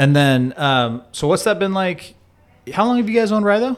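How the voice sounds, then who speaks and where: A man speaks loudly at a fairly quick pace. His high voice has very wide pitch swings. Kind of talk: casual interview chat.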